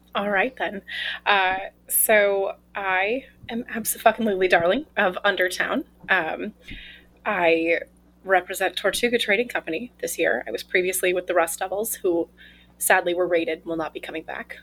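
Her voice is a plain, everyday voice, as this woman speaks at a moderate pace with medium pitch and ordinary pitch variation. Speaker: mayoral candidate. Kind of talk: casual interview. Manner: joking, playful.

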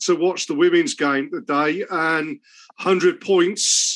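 Over a quiet background, a man speaks in a high voice. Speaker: podcast host. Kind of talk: casual chat and interview. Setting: home recording with cat in background.

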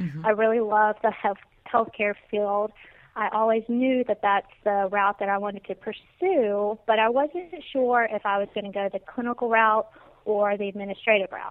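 A Mississippi accent at a moderate pace, with ordinary pitch variation. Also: woman, fairly high pitch for a woman. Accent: Southern US (Mississippi). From US South, Natchez, Mississippi. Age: 20s. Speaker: senior living administrator. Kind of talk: interview.

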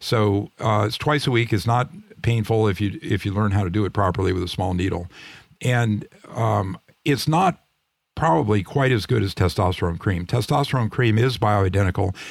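The recording is very clean with a silent background. A man with a plain, everyday voice speaks at a moderate pace and a fairly low pitch with ordinary pitch variation. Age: 60s. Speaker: retired physician and author. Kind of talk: interview.

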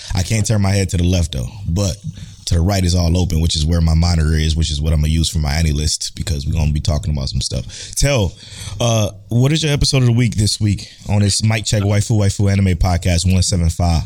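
Against noticeable background noise, a man with a very deep, low pitch talks at a very fast pace, using lively intonation and very even loudness. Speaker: podcast host. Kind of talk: casual chat about anime.

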